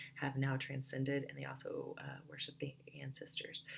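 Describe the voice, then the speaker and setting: Vocal fry colors a woman's speech. Her pitch is very deep and low. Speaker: student. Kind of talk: class presentation. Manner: halting.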